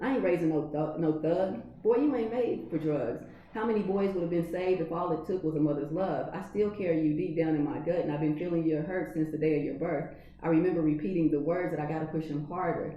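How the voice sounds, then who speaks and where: Rushing along at a very fast pace with hardly any pauses, a woman with an American accent uses a fairly low pitch and ordinary pitch variation over noticeable background noise. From California. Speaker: poet. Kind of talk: poetry reading.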